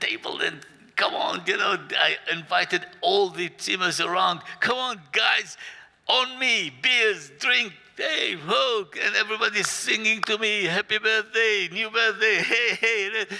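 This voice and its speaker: A man's voice, high in pitch with ordinary pitch variation, at a fairly slow pace over noticeable background noise. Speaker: storyteller. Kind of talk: storytelling. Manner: animated.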